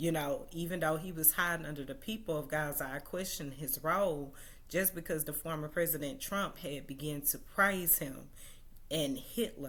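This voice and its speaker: With an American accent and lively intonation, a woman speaks at a moderate pace in a very deep, low pitch amid audible room echo. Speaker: social media commentator. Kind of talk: livestream monologue. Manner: hesitant, many fillers.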